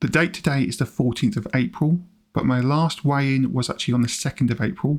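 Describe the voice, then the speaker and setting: British-accented speech from a man, his pitch varying in an ordinary way. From UK. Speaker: personal finance YouTuber. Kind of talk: vlog-style explanation.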